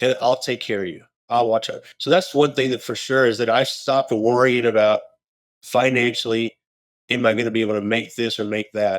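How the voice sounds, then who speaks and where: A man with an American accent talks at a fairly quick pace in an ordinary speaking voice, medium in pitch and fairly even in intonation. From Texas (Houston). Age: 50s. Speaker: roofing company owner. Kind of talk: interview conversation. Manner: casual, with frequent repetitions.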